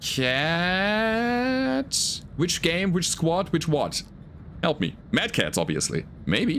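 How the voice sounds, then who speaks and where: A man with a German accent speaks at a very slow pace, his pitch high and his intonation lively. The recording is very clean with a silent background, and his loudness stays very even. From Germany. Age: 40s. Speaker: gaming streamer. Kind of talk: live gameplay commentary. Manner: animated.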